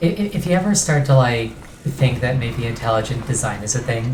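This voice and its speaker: A moderate pace over noticeable background noise. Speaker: video game streamer. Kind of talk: gameplay livestream commentary. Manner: casual, thinking aloud.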